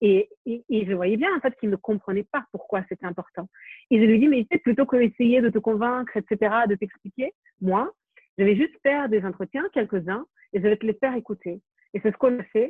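This woman has an ordinary speaking voice, pitched fairly high. She talks at a moderate pace with ordinary pitch variation. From Ukraine. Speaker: documentary filmmaker. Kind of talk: interview.

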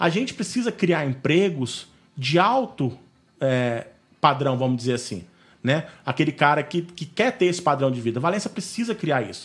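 A man's somewhat breathy, fairly high voice with very wide pitch swings. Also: moderate pace. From Valença, Rio de Janeiro state, Brazil. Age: 30s. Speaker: neighborhood association president. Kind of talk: interview. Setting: video call.

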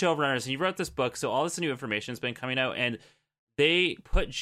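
Someone does plain reading aloud. Nothing much sounds behind the voice.

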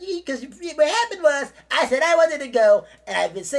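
A female-sounding put-on character voice, high-pitched for a woman. The delivery moves at a fairly quick pace.

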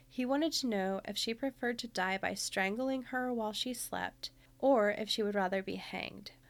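A woman's normal speaking voice, fairly high in pitch, with ordinary pitch variation and a moderate pace. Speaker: true crime podcast host. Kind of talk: scripted narration.

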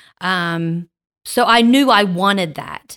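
A woman with a Southern US accent, a fairly low pitch, and a bright, sharp tone, in a very clean recording with a silent background. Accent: US South. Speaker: podcast host. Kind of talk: casual chat. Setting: studio. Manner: loud.

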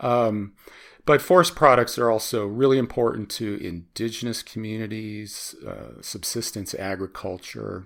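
A man with an American accent uses a normal speaking voice at a fairly low pitch and a moderate pace. His loudness swings widely, with ordinary pitch variation. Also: very clean recording, silent background. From US Midwest (Chicago). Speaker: environmental economics researcher. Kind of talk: interview.

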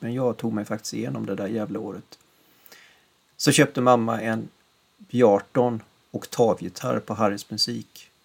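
Speaking at a medium pitch, a man's voice carries vocal fry. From western Sweden, Gothenburg area. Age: 50s. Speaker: podcast host, musician. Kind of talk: scripted narration.

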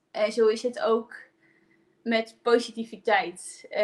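Her pitch is fairly high. This woman keeps a fairly even intonation. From Friesland, Netherlands. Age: 20s. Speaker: positive psychologist and coach. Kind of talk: personal testimony in a live stream. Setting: live video stream.

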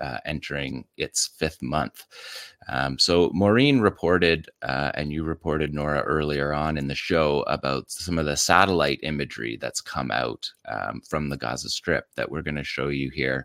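A man with a very deep, low pitch and vocal fry speaks at a moderate pace with ordinary pitch variation and hardly any pauses, in a dry, close sound with no echo. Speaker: military analyst. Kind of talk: video analysis commentary.

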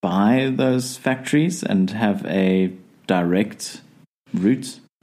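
A man is speaking. His intonation is lively. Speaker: podcast host. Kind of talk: casual chat.

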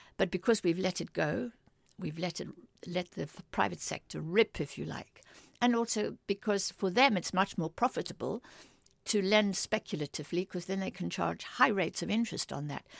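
A woman's medium-pitched voice with vocal fry. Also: ordinary pitch variation, moderate pace. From Africa. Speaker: political economist. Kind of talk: interview.

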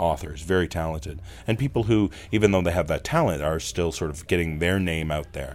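A man with a very deep, low pitch speaks at a fairly quick pace. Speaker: podcast creator and narrator. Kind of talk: casual interview. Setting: in person, live show venue.

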